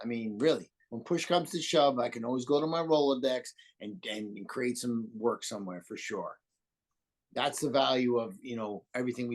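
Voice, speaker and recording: A man with a New York accent, medium in pitch, at a moderate pace with ordinary pitch variation. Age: 60s. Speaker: landscape designer. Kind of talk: interview.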